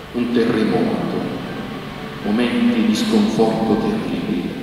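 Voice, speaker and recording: A man speaking at a very slow pace amid strong room echo, with music in the background. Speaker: bishop celebrating mass. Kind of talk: sermon. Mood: solemn, consoling. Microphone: podium.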